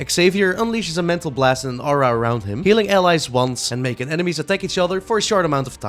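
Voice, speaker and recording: A man talks at a very fast pace in a fairly high pitch with very wide swings. Music plays in the background. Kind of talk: casual gaming commentary.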